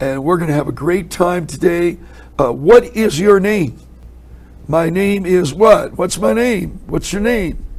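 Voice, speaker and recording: A high-pitched man with lively intonation, in audible room echo. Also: fairly slow pace. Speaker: Bible teacher. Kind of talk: sermon. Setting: indoor upper room, cold.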